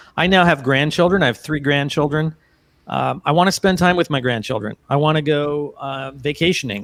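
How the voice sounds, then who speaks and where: A man speaks in a plain, everyday voice at a fairly high pitch with ordinary pitch variation. The recording is very clean with a silent background and a dry, close sound with no echo. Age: 60s. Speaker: portrait photographer. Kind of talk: casual interview chat.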